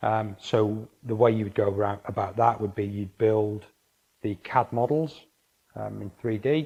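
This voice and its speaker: This man speaks with a Welsh accent and fairly even intonation. His tone is dark and mellow, and somewhat breathy. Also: fairly low pitch for a man, fairly slow pace. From North Wales. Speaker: engineering consultant. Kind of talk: interview. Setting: office. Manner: halting.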